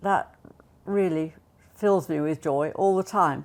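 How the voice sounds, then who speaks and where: A woman with a southern English accent and fairly even intonation. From Buckinghamshire, England. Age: 80s+. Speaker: retirement home resident. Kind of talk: casual interview chat.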